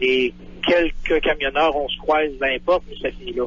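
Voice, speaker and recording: Noticeable background noise sits under the voice. The speech moves at a fairly quick pace with fairly even intonation. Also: man. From Quebec. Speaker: truck driver. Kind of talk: radio interview.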